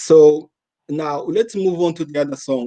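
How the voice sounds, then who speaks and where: A man's dark, mellow voice with a Rwandan accent. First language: Kinyarwanda. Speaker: interviewer. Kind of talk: interview.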